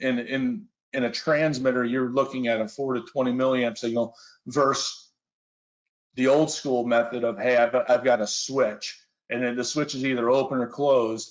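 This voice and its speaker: Against a quiet background, a man with a plain, everyday voice speaks at a moderate pace and medium pitch with fairly even intonation. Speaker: industrial flame sensor application specialist. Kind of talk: technical webinar presentation. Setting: online webinar.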